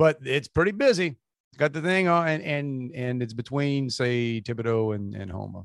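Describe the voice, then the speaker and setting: A man with a South Louisiana accent talks at a moderate pace and medium pitch, his intonation lively and the sound dry and close with no echo. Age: 50s. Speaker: podcast co-host. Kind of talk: casual chat. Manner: halting.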